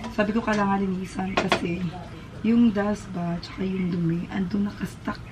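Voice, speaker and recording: Amid noticeable background noise, a woman talks at a medium pitch and a moderate pace in a flat monotone. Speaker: vlogger. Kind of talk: casual home vlog. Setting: at home.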